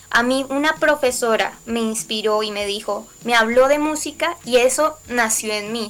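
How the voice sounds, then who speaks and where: A woman speaks at a high pitch. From Colombia. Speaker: singer-songwriter. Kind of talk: interview.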